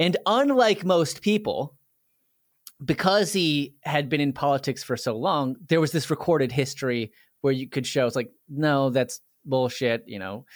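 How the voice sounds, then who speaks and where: Speaking with a plain, everyday voice, a man uses lively intonation at a moderate pace on a very clean recording with a silent background. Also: fairly high pitch for a man. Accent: American. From Washington, D.C. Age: 30s. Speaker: video creator. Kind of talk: casual interview conversation.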